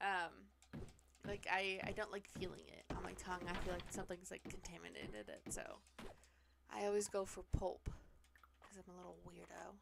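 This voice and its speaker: At a moderate pace, a woman talks with a Pacific Northwest accent. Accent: Pacific Northwest, drops T's. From US Pacific Northwest. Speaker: streamer. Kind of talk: casual chat. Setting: live stream.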